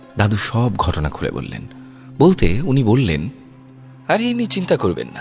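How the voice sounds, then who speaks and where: A man speaks with music playing in the background. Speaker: horror story narrator. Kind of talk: horror story narration.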